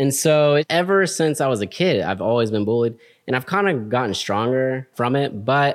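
Lively intonation marks this man's normal speaking voice. His pitch is medium and his pace moderate. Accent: American. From Texas, Houston. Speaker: Air Force veteran, business student. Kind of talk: casual chat.

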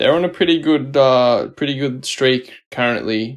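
A man talks with an Australian accent. His pitch is fairly high. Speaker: podcast co-host. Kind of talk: casual chat.

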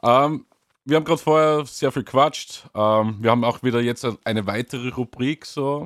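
An ordinary male speaking voice at a medium pitch and moderate pace with ordinary pitch variation, dry and close with no echo, on a very clean recording with a silent background. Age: 30s. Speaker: band member podcast host. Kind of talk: casual chat.

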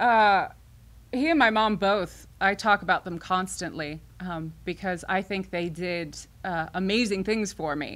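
On a very clean recording with a silent background, a woman with an American accent speaks at a medium pitch and a fairly slow pace, with ordinary pitch variation. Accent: faint Midwestern, fading. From southern Illinois. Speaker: theater director. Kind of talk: casual interview chat. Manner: filler-heavy, hesitant.

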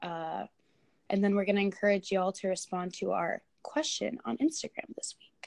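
A woman's medium-pitched voice with an American accent, very wide pitch swings and big swings in loudness, at a moderate pace, in a dry, close sound with no echo. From Illinois. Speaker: podcast co-host. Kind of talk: casual chat. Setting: remote recording.

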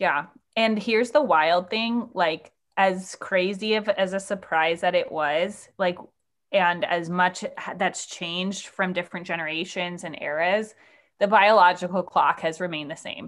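A woman with a plain, everyday voice speaks at medium pitch. Her pace is fairly slow and her intonation fairly even. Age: 20s. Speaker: musician and yoga teacher. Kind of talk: casual chat. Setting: video call.

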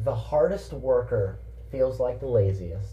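A man speaking at a fairly slow pace, with audible room echo. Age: 20s. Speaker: podcast co-host. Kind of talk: casual chat.

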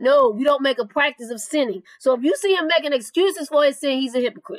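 A woman talks at a high pitch and a fast pace. Her pitch varies in an ordinary way.

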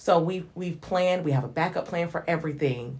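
A woman with a Southern US accent speaks in a very deep, low, somewhat breathy voice with ordinary pitch variation. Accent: Southern US (Georgia). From US South (Hinesville, Georgia). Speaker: evangelist and singer. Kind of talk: casual interview.

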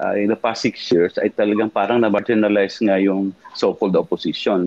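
The speaker is a man. The audio sounds dry and close, with no echo at all. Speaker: former congressman and lawyer, political commentator. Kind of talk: political talk show discussion. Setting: live-streamed online show. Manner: halting, many fillers.

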